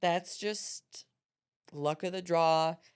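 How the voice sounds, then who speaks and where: A woman's fairly low voice, fairly even in intonation, at a very slow pace. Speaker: interview guest.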